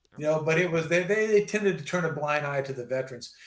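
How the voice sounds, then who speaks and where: Pitched fairly high, a man speaks with ordinary pitch variation in an unremarkable speaking voice. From US West Coast, California Bay Area. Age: 60s. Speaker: retired army veteran. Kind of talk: casual interview chat.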